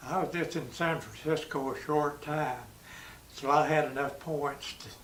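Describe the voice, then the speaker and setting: Amid noticeable background noise and audible room echo, a man with an East Tennessee accent speaks in a monotone, flat intonation. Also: fairly high pitch for a man, moderate pace. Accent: East Tennessee Southern. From US South. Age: 90s. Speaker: war veteran. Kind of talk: oral history interview. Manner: halting.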